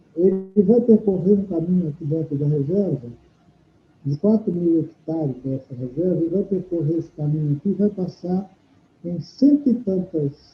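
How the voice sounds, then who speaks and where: A man with a high pitch speaks at a fairly slow pace using lively intonation. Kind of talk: interview answer.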